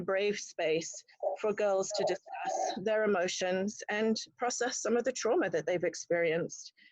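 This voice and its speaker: Against a quiet background, a woman with an English accent speaks at a moderate pace in a fairly high pitch, with ordinary pitch variation. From England. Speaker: nonprofit executive director. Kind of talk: club member self-introduction. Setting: video call. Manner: frequent ums.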